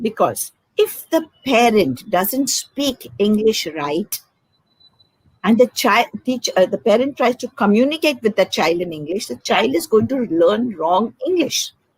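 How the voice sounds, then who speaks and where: Her pitch is fairly high, and it moves in very wide swings as this woman talks at a fairly slow pace. The somewhat breathy voice has a dry, close sound with no echo. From India, Karnataka (south). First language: Konkani. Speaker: educator, former school principal. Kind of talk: interview on teaching English.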